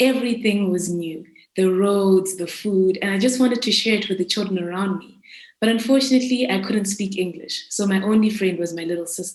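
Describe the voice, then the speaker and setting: This woman speaks at a fairly quick pace, her medium pitch showing ordinary variation. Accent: Zimbabwean. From South Africa (raised there from age seven, born in Zimbabwe). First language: Shona. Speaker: student entrepreneur. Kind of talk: pitch presentation. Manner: formal.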